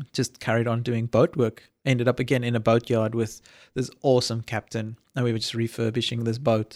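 A man's medium-pitched, monotone voice at a fairly quick pace, dry and close with no echo, in a very clean recording with a silent background. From South Africa. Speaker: college campus manager. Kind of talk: casual interview chat. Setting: in-person at host's place.

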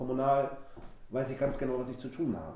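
A man talks at a fairly quick pace in a fairly high pitch with flat, monotone intonation, with audible room echo and noticeable background noise. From Wilhelmshaven, northern Germany. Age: 20s. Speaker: local council candidate, party official. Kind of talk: casual interview.

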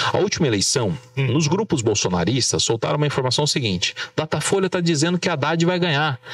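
Against noticeable background noise, a man talks at a very fast pace in a dry, close sound with no echo. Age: 30s. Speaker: journalist, political marketing. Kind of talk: casual interview. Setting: studio with camera.

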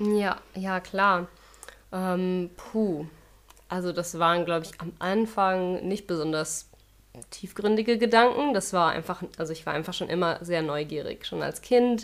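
On a very clean recording with a silent background, a woman has an unremarkable speaking voice of medium pitch, ordinary pitch variation and a fairly slow pace. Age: 30s. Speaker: yoga teacher and web designer. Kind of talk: casual interview.

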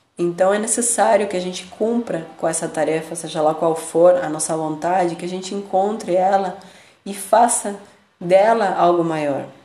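Audible room echo surrounds a woman's medium-pitched voice. She speaks at a moderate pace with ordinary pitch variation. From Argentina, Buenos Aires. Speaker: spiritual podcast host. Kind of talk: reflective monologue.

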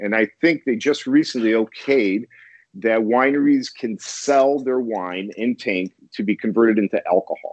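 With an American accent, a man speaks in an unremarkable speaking voice at a medium pitch. His pace is moderate and his pitch varies in an ordinary way. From US Midwest, Chicago. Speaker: wine importer. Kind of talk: casual interview.

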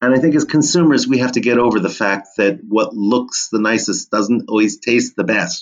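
A man speaks in an ordinary speaking voice at a medium pitch and moderate pace, with ordinary pitch variation, very even loudness, and hardly any pauses. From New Jersey (Monmouth County). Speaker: history professor and food historian. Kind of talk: interview conversation.

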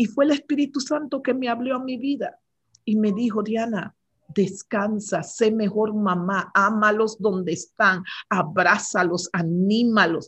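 A woman's voice sits fairly high in pitch, varying in an ordinary way as she talks fairly slowly. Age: 60s. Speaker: regional director of a women's prayer ministry. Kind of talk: interview. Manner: hesitant, with fillers.

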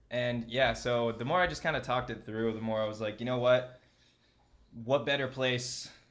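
Using a normal speaking voice, a man talks at medium pitch and a moderate pace with fairly even intonation. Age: 20s. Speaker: podcast host. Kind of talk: casual chat.

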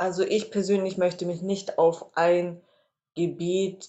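A woman speaks at a very slow pace. Her voice sits fairly low. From Reutlingen, Swabia, Germany. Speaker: social work student. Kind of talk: interview. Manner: hesitant, many fillers.

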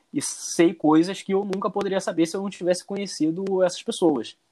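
A man with a Carioca accent speaks at a fairly quick pace in a dark, mellow tone. The recording is very clean with a silent background. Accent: Carioca accent, kept. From Rio de Janeiro, Brazil. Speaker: former exchange student. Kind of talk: casual chat.

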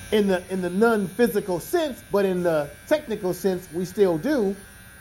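Music plays in the background as a man speaks at a moderate pace. His pitch is high, with ordinary variation. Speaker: podcast host. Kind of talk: casual chat. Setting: barbershop. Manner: relaxed; higher pitched at times.

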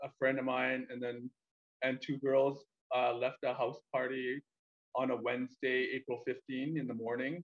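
A man with a Canadian accent talks at a fairly slow pace in an ordinary speaking voice, medium in pitch, with a dry, close sound and no echo. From Calgary, Canada. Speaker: travel vlogger with quadriplegia. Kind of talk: casual interview chat.

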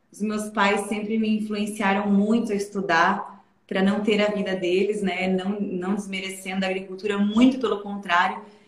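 A woman speaks at medium pitch and a moderate pace with hardly any pauses. Her intonation is monotone and flat, and there is audible room echo. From southern Brazil, Santa Catarina interior (Aurora). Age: 20s. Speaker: investment advisor. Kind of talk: interview. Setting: live stream.

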